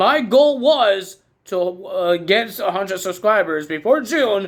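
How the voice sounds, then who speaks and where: A man speaks loudly. His pitch swings very widely. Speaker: wrestling commentator YouTuber. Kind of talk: casual recap vlog.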